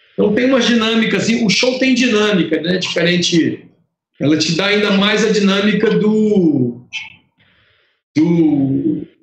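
Speaking fairly slowly with long, frequent pauses, a man with a high pitch uses lively intonation and very even loudness in audible room echo. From Brazil, Piauí and Fortaleza (Ceará). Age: 50s. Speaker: lighting designer. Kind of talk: interview. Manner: halting, many repetitions.

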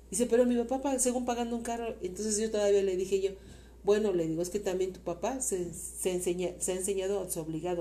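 A woman at medium pitch speaking at a very fast pace, ordinary pitch variation, with audible room echo. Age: 50s. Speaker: host's mother. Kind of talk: interview.

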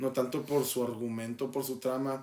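A man's fairly even intonation at a moderate pace. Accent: Mexican. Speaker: podcast co-host. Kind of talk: casual chat.

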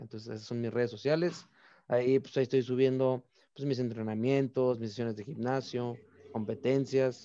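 Speaking with a normal speaking voice, a man holds a medium pitch and fairly even intonation. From Mexico, Baja California (Mexicali). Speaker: olympic archer. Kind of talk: interview.

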